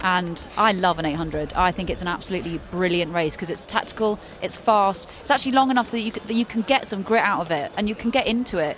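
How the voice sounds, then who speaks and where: A woman at a medium pitch talking at a very fast pace with hardly any pauses and lively intonation, over noticeable background noise. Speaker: athletics commentator. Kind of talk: live commentary. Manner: animated.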